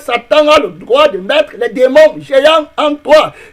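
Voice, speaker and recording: Noticeable background noise sits behind speech delivered very slowly. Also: man. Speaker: pastor. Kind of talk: sermon.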